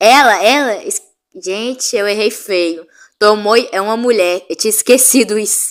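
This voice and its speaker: A woman at a fairly slow pace, fairly high in pitch, with ordinary pitch variation. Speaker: YouTuber. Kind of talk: casual commentary. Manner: loud.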